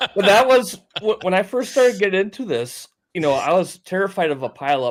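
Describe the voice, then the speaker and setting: A man talks with a North Dakota accent at a high pitch. His voice moves through very wide pitch swings. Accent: Fargo. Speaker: ham radio operator, video maker. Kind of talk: casual chat. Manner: halting.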